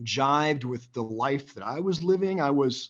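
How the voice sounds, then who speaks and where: The background is quiet as a man speaks with an American accent. His pitch sits fairly high. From US Midwest, Northwest Iowa. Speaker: financial advisor. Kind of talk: interview.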